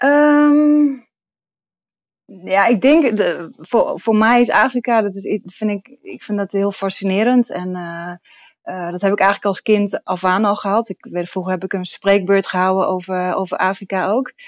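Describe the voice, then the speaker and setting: A woman speaks at a fairly slow pace. She has a normal speaking voice. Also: medium pitch for a woman, ordinary pitch variation. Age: 30s. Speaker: physiotherapist. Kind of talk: interview. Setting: video call.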